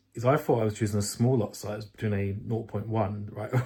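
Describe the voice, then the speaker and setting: In a very clean recording with a silent background, a man at medium pitch speaks in a flat monotone that sounds somewhat breathy. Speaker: day trader vlogger. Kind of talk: casual vlog talk. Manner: fast.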